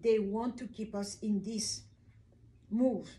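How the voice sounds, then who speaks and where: Her voice is a woman's, dark and mellow in tone and somewhat breathy. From Kinshasa, DR Congo. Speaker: video blogger. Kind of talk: monologue talk to camera about self-hatred. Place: home room. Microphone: camera far.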